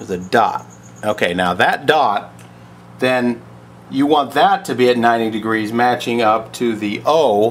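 With ordinary pitch variation and a fairly slow pace, a man speaks over light background noise. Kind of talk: tutorial. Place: garage. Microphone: phone near.

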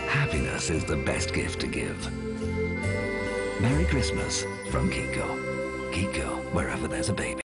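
A man talks at a moderate pace, stopping often for long pauses. Loud music plays in the background. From British. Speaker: voice actor. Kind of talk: TV commercial read. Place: booth.

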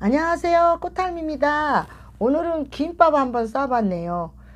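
Lively intonation runs through this woman's speech. She talks at a very slow pace. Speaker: mukbang channel host. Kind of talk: casual vlog chat. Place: home room.

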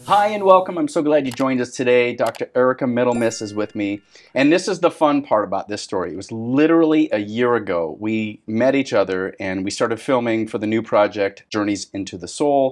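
Moving at a fairly quick pace, a man speaks with lively intonation against a quiet background. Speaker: podcast host. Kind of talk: interview intro and conversation. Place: office.

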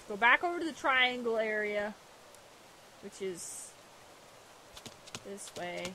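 A woman speaks at a fairly slow pace with lively intonation, big swings in loudness and long, frequent pauses, in a dry sound with no echo over light background noise. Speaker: gaming video host. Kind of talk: casual let's play commentary. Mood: amused, bemused.

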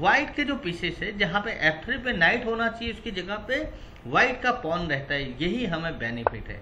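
At a moderate pace, a man speaks with a high pitch, big pitch swings and a bright, sharp tone, over faint background noise.

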